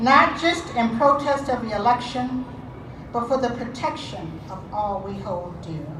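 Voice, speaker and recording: Pitched high with lively intonation, a woman speaks at a fairly slow pace, her loudness swinging widely amid audible room echo and noticeable background noise. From Detroit, US. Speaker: activist speaker. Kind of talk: protest rally speech. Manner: impassioned.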